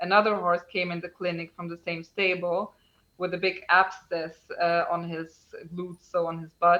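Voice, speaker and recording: This woman has a fairly low pitch and a non-native accent. She talks at a moderate pace with monotone, flat intonation. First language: not English. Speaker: equine dentist. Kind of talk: podcast interview. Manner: halting.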